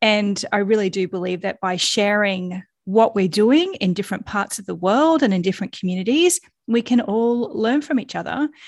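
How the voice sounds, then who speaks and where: In an Australian accent, a woman speaks at a moderate pace and a medium pitch, with lively intonation. The background is quiet. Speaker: podcast host and founder. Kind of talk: solo podcast monologue, reflective. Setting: home recording at dining room table.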